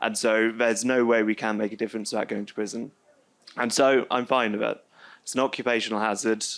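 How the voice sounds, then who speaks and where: A man's medium-pitched, monotone voice with flat intonation, at a fairly quick pace. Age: 20s. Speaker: climate activist and ex-prisoner. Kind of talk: testimony.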